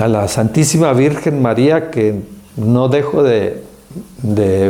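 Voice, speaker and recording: A man speaks at a very slow pace. Room echo is audible, and there is noticeable background noise. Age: 70s. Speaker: speaker on senior care. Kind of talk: testimony.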